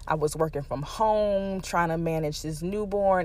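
A woman's ordinary speaking voice, fairly low in pitch, at a fairly slow pace with ordinary pitch variation. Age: 30s. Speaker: podcast host. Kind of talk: personal monologue. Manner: casual with many fillers.

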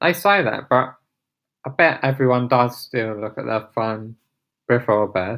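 On a very clean recording with a silent background, a man with an English accent talks fairly slowly at medium pitch, with lively intonation and long, frequent pauses. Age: 30s. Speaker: podcaster. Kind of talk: casual monologue. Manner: halting.

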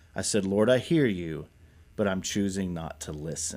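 In a very clean recording with a silent background, a man with an American accent speaks at a moderate pace. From Kentucky, Nicholasville and Lexington. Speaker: pastor. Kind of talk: interview testimony.

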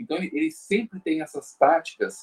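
Moderate-paced speech from a man, dry and close-miked, without any echo. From Brazil, São Paulo. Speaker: guest commentator on health topics. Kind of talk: casual discussion.

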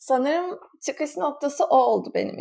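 This woman speaks with a high pitch. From Izmir, Turkey. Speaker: Turkish expat. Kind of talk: casual chat. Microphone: borrowed laptop from neighbour.

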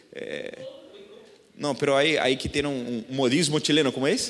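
Noticeable background noise and audible room echo surround a man speaking with a Brazilian accent. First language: Portuguese (speaking Spanish). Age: 30s. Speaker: pastor. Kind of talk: sermon. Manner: halting.

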